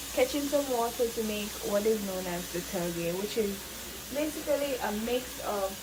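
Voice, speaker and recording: A woman at fairly high pitch with lively intonation and a moderate pace, amid audible room echo and noticeable background noise. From Jamaica. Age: 20s. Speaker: vlogger. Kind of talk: casual vlog narration. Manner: casual, hesitant.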